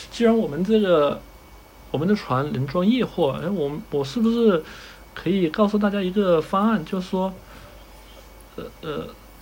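Lively intonation from a high-pitched man at a moderate pace, with noticeable background noise. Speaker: ship designer. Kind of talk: casual interview.

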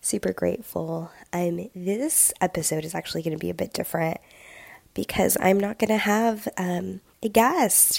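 With vocal fry, a woman speaks at a fairly low pitch and with fairly even intonation. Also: moderate pace.

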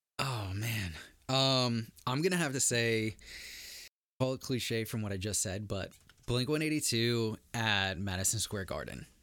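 A man with a bright, sharp tone and medium pitch speaks fairly slowly with ordinary pitch variation on a very clean recording with a silent background. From Italian-American family. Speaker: shop owner. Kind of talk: casual chat.

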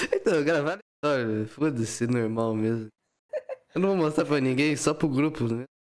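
A man's fairly high voice at a moderate pace, very even in loudness, with ordinary pitch variation. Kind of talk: casual chat.

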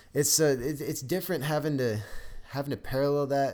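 A man speaks at a very fast pace. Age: 20s. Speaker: podcast co-host, college student. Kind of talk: casual chat. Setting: studio.

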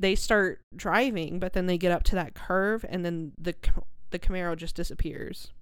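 Here is an ordinary speaking voice, a woman's at medium pitch. She moves at a moderate pace with fairly even intonation. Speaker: podcast co-host. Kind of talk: casual chat.

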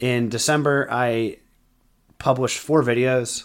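Music runs in the background. Over it, a man talks at a medium pitch. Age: 30s. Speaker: podcast host and marketing consultant. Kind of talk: solo podcast monologue.

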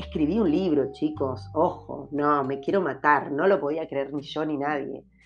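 Music plays behind a woman with a very deep, low pitch and ordinary pitch variation. She talks at a fairly slow pace with hardly any pauses. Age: 50s. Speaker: podcast host. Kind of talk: solo podcast monologue.

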